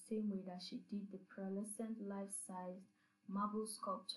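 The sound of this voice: An unforced reading voice, intonation kept fairly even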